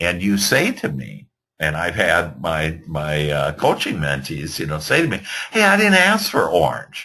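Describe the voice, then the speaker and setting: A man with a Midwestern accent speaks at a fairly slow pace. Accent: Midwest American. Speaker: real estate business coach. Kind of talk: webinar presentation. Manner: halting, many fillers.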